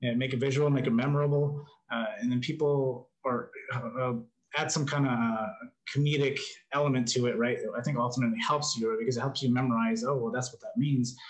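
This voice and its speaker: A man talks in a plain, everyday voice at a medium pitch. His pace is fairly quick and his intonation fairly even. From New Mexico, US Southwest. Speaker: life coach and motivational content creator. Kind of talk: casual interview conversation.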